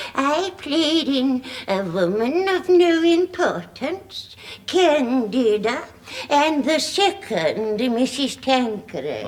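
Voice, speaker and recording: A woman puts on a character voice, high in pitch and with very wide pitch swings. She speaks at a very slow pace with very even loudness over light background noise. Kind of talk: camp drag dame comedy. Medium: old radio play. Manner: grand, theatrical, rambling.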